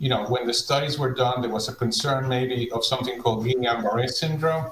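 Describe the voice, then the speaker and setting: A man at medium pitch and moderate pace, his intonation fairly even. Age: 60s. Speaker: infectious disease professor. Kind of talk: panel discussion.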